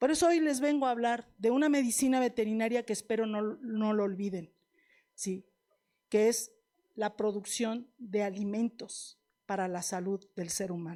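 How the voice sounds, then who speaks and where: With a Mexican accent, a woman speaks at a moderate pace in an animated tone, her fairly high pitch showing ordinary variation. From Mexico, La Piedad, Michoacán. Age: 60s. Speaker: veterinarian lecturer. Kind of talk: lecture. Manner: animated, conversational.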